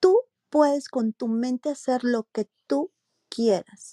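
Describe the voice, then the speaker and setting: On a very clean recording with a silent background, a woman with a Mexican accent speaks very slowly in a high pitch, her dark, mellow tone showing ordinary pitch variation. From Mexico, Morelia, Michoacán. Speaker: marketing executive. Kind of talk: interview.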